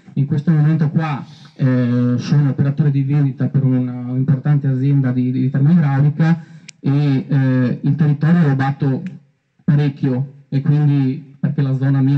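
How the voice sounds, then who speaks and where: The voice has a dark, mellow, somewhat breathy tone and a monotone, flat intonation. It moves at a moderate pace with very even loudness against a quiet background. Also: man. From Veneto, Stienta; Veneto. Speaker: council candidate, salesman. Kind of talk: campaign speech. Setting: outdoors in a park. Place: garden.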